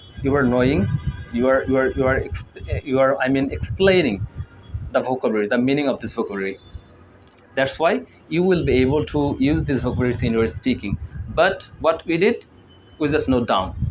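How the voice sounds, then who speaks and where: A man with a Bengali accent and a medium pitch talks at a fairly quick pace with lively intonation and long, frequent pauses. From Bangladesh. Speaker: English learning youtuber. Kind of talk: tutorial. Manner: halting, with fillers and repetitions.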